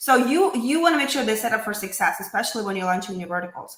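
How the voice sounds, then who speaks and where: Audible room echo surrounds a woman whose voice moves through very wide pitch swings. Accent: non-native. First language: not English. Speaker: podcast host. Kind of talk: interview. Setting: live stream.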